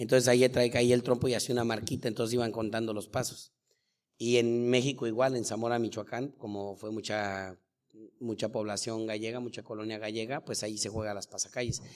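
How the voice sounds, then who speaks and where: A man's medium-pitched voice at a fairly quick pace, flat and monotone in intonation. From Mexico City. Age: 40s. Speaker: acrobatic spinning top champion and instructor. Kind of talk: live interview. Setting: school auditorium with live audience.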